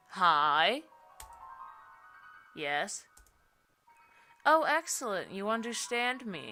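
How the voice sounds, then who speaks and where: A shrill, put-on character voice sits at a fairly high pitch and makes very wide pitch swings. It moves at a very slow pace. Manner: sweet, cheerful.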